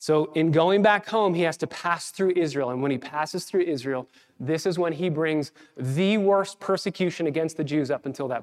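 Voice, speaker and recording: A normal speaking voice with ordinary pitch variation. The pace is moderate. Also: man, fairly high pitch for a man. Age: 30s. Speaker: pastor. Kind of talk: sermon. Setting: church.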